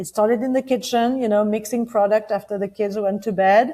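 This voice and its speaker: A woman speaks with a French accent at a medium pitch and ordinary pitch variation. The recording is very clean, with a silent background. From France. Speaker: company founder. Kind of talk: interview. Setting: podcast. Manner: some hesitation fillers.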